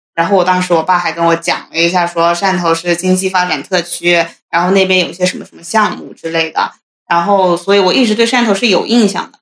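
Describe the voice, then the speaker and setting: A woman's normal speaking voice at medium pitch, fairly quick, with big swings in loudness. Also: fairly even intonation. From Hunan. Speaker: office worker. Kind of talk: casual chat.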